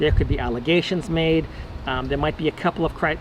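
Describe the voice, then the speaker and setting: Noticeable background noise sits behind a man's fairly high voice. He speaks at a very fast pace with fairly even intonation. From Texas. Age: 60s. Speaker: advocate for divorced men. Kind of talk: personal monologue video. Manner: halting, with repeated words and fillers.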